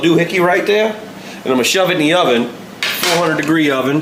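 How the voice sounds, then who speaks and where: Talking very fast with an American accent and ordinary pitch variation, a man is heard amid noticeable background noise and audible room echo. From US South, New Orleans. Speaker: home cook. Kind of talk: casual cooking video. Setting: home kitchen. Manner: casual, joking.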